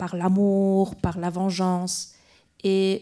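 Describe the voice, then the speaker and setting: A woman with a Polish accent speaks at a medium pitch in a dark, mellow tone. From Poland. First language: Polish (speaking French). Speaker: film director. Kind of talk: festival Q&A panel. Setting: stage with audience. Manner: halting, many repetitions.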